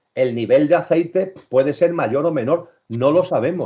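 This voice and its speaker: A man's dark, mellow voice at a moderate pace with lively intonation. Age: 60s. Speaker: spiritual speaker. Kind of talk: interview talk.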